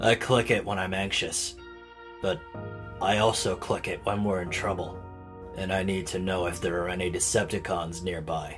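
Over clear music in the background, a man uses a put-on character voice with a very deep, low pitch at a moderate pace. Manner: hesitant, sorrowful.

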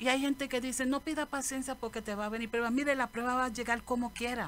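The pace is fast and the intonation fairly even. A woman talks at a fairly high pitch.

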